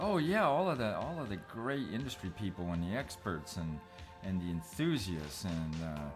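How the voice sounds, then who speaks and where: A man's very deep, low voice at a moderate pace, with very wide pitch swings and music in the background. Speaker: magazine publisher and conference moderator. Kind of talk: casual commentary conversation.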